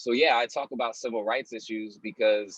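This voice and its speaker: A man's medium-pitched, normal speaking voice with fairly even intonation, dry and close with no echo. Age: young. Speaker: spoken word poet. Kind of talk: interview answer.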